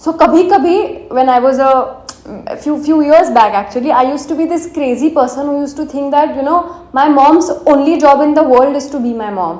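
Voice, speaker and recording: Soft-spoken, a woman with a strong Indian accent talks at a moderate pace and a high pitch with ordinary pitch variation, heard with audible room echo and noticeable background noise. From India, Marathi-speaking. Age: 20s. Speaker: vlogger. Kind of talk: casual personal vlog, English mixed with Hindi. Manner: casual with fillers.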